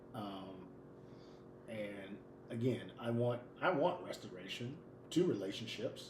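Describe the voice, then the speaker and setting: A medium-pitched man talks at a very slow pace, with long, frequent pauses and lively intonation. Noticeable background noise and audible room echo fill the recording. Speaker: podcast co-host. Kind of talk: casual chat. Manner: loud; animated.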